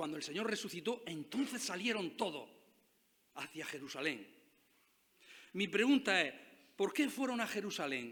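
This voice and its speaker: His voice raised and projected, a man speaks at a moderate pace in a high pitch with very wide pitch swings. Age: 60s. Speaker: pastor. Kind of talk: sermon.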